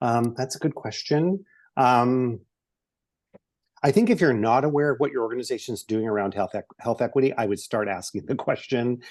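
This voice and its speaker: Speaking at a fairly quick pace, a man with an American accent uses a medium pitch and ordinary pitch variation. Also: quiet background. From eastern Washington State. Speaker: presenter on case management and health equity. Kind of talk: webinar presentation and Q&A. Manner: fast; many fillers (um, uh).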